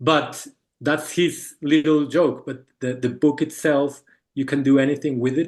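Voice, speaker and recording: A man speaks with a Spanish accent in a fairly high pitch. His intonation stays monotone and flat. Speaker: book artist presenting a project. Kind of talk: Q&A answer in an online talk. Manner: halting, many fillers and repetitions.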